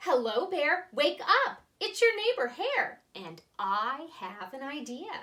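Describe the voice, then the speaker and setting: High-pitched put-on character voice from a woman, fairly slow, with very wide pitch swings. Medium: read story. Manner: cheerful, persuasive.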